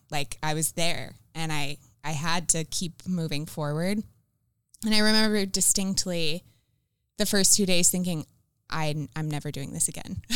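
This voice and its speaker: A woman with an American accent, her pitch fairly low with ordinary variation, at a moderate pace with long, frequent pauses. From Florida. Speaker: campus missionary. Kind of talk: casual interview.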